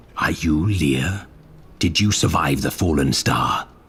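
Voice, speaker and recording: Putting on a character voice, a man growls at a fairly slow pace in a very deep, low pitch. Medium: video game. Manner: terse, stern.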